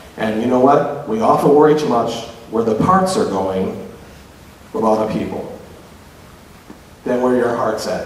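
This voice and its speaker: Passionate in tone, a man speaks at a moderate pace with ordinary pitch variation and long, frequent pauses, against light background noise and audible room echo. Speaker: public speaker on LGBTQ issues. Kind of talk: live lecture to audience. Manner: humorous, passionate.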